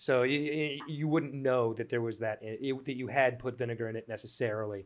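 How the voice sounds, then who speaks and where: This is an unremarkable speaking voice with an American accent. It moves at a fairly quick pace with fairly even intonation. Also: man. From Texas. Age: 30s. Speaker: cooking show host. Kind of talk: casual chat.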